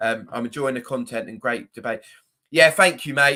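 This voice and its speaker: A man with a strong southern English accent and a bright, sharp tone, in a very clean recording with a silent background. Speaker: football fan YouTuber. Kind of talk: live stream chat. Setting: live stream. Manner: casual, hesitant with fillers.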